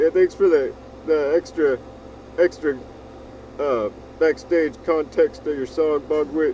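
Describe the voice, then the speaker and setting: A man with a fairly high pitch and an American accent, fairly slow pace, long and frequent pauses, fairly even intonation, and noticeable background noise. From US South. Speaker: music review show co-host. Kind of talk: casual chat. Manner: hesitant, many fillers.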